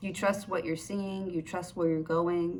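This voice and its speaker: Heard with audible room echo, a woman uses a fairly low pitch and fairly even intonation. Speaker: tarot reader. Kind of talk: tarot reading to camera. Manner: stuttering today; casual, hesitant with fillers.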